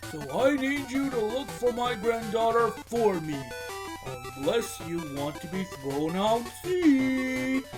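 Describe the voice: Over clear background music, a man does a put-on character voice at extremely high pitch, slow in pace and lively in intonation.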